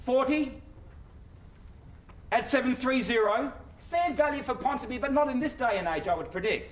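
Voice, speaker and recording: A man with a New Zealand accent speaks at an extremely high pitch and a moderate pace, with ordinary pitch variation. Background noise is noticeable. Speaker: auctioneer. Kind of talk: live auction bid calling. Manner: brisk, persuasive.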